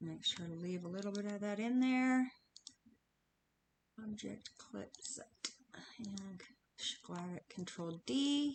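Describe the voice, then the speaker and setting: A somewhat breathy voice moves at a very slow pace with long, frequent pauses and lively intonation. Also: woman, medium pitch for a woman. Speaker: crafter and software tutorial maker. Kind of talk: tutorial.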